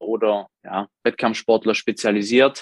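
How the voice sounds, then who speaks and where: Recorded with a dry, close sound with no echo, a man speaks in a monotone, flat intonation. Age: 20s. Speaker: sports therapist and bodybuilding coach. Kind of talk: interview.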